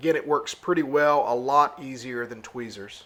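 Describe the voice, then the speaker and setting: The speaker is a man. He talks with a Southern US accent. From US South. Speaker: outdoor vlogger and parent. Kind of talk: gear review tutorial. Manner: casual, frequent filler words.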